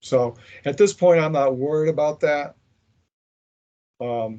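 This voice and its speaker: A man speaks with an American accent at a moderate pace. His tone is dark and mellow. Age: 60s. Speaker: former occult order member, veteran. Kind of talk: interview.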